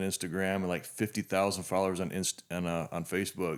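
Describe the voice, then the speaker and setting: A man talks in a plain, everyday voice at a fairly low pitch and a fairly quick pace. The recording is very clean, with a silent background. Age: 50s. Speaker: podcast host. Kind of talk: casual interview.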